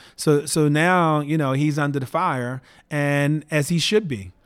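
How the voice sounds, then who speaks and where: The recording is very clean, with a silent background. A man with a normal speaking voice talks at a moderate pace, fairly high in pitch with ordinary pitch variation. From Baltimore, Maryland (US East Coast). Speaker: tech entrepreneur. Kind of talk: interview.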